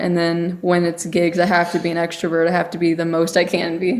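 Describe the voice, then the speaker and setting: Audible room echo around a woman's fairly low voice. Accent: American. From Texas. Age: young (19). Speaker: singer-songwriter. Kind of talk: interview.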